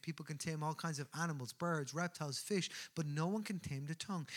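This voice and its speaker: On a very clean recording with a silent background, a man with an Irish accent speaks at a fairly quick pace with ordinary pitch variation. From Ireland, Newbridge, County Kildare. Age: 30s. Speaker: pastor. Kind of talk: sermon. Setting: church.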